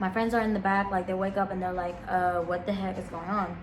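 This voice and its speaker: At a fairly quick pace, a woman of medium pitch speaks amid noticeable background noise and audible room echo. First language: not English. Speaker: vlogger. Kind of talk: casual storytime. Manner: animated.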